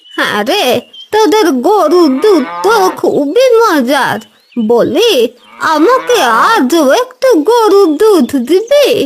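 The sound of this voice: A woman puts on a cartoonish character voice at an extremely high pitch with very wide pitch swings. She speaks at a very slow pace, her loudness very even.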